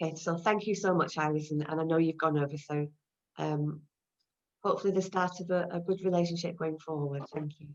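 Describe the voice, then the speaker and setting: Her voice is fairly low in pitch. The woman speaks at a fairly quick pace with fairly even intonation. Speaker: online business briefing host. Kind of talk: video call discussion. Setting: video call. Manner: fast.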